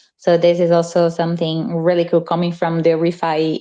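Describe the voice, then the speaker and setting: The voice has a dark, mellow tone and a Portuguese accent. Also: woman. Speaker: community member. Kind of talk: casual chat.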